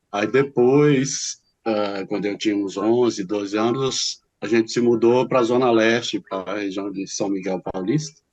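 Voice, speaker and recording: A man's fairly low voice with ordinary pitch variation and hardly any pauses, against a quiet background. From Brazil, São Paulo city. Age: 60s. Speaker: teacher and writer. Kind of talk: interview. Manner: halting.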